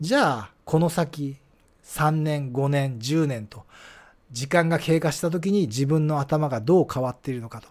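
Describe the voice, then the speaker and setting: With big swings in loudness, a man speaks at a fairly slow pace and a fairly high pitch, showing ordinary pitch variation. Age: 50s. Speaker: early retiree vlogger. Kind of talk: solo monologue with slides. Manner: many filler hesitations.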